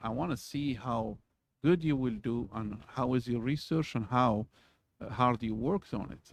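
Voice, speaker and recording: A man speaks at a moderate pace with a non-native accent and ordinary pitch variation, his voice dry and close with no echo against a quiet background. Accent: foreign. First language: not English. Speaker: university lecturer. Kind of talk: lecture. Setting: recorded video for students. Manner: halting, many fillers.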